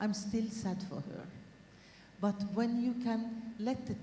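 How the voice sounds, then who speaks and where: A woman's medium-pitched voice at a fairly slow pace, with audible room echo. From Norway. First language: Norwegian. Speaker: academic speaker. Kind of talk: panel talk. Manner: halting.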